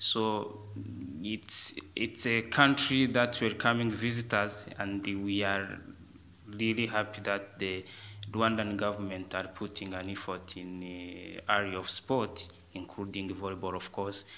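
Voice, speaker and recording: Fairly slow and fairly low, a man's voice carries a bright, sharp tone. His intonation is monotone and flat. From Rwanda. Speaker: volleyball referee. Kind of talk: interview. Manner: halting.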